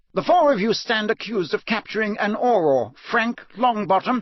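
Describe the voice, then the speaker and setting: A man puts on a loud character voice, pitched high. He keeps a moderate pace. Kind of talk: courtroom speech. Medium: read story. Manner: loud, commanding.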